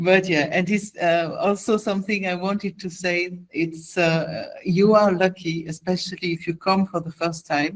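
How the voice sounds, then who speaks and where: With a non-native accent, a woman speaks somewhat breathily at a fairly slow pace with hardly any pauses, in a medium pitch and flat, monotone intonation. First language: not English. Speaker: music conference representative giving training. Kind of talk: online presentation. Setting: video call. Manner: hesitant, with fillers.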